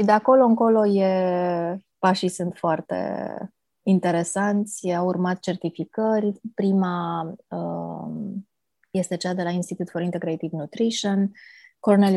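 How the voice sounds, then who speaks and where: Calm and dark, mellow in tone, a woman speaks at a medium pitch and a fairly slow pace with fairly even intonation. The sound is dry and close with no echo, on a very clean recording with a silent background. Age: 40s. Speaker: age reversal coach. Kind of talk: interview.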